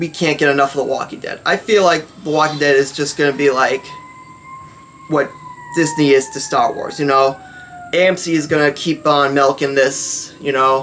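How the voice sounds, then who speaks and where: A fairly high-pitched man with fairly even intonation amid noticeable background noise. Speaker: fan commentary youtuber. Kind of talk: casual opinion vlog. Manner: fast; halting, many fillers.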